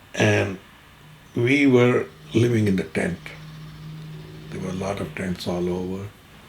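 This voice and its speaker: There is noticeable background noise as a man talks. His pace is fairly slow and his intonation fairly even. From Punjab, Pakistan. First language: Derawali (Saraiki). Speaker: Partition survivor. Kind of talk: interview answer.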